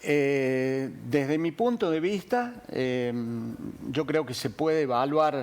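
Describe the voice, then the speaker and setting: A man with a fairly high pitch, speaking at a very slow pace. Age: 70s. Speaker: industrialist, business chamber president. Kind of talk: TV interview. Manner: hesitant, many fillers.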